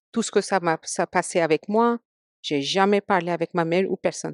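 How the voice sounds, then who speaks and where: With an Indian accent, a woman speaks at a moderate pace in a fairly low voice, the sound dry and close with no echo and the background quiet. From India, Mumbai. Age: 40s. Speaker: podcast guest. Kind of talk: casual interview chat. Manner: halting, many hesitations.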